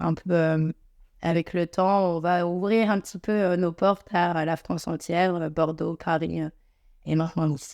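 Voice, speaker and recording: At a fairly slow pace, the voice stays flat and monotone, its sound dry and close with no echo on a very clean recording with a silent background. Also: woman. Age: 30s. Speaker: beauty salon entrepreneur. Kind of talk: podcast interview. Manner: halting, many filler euhs.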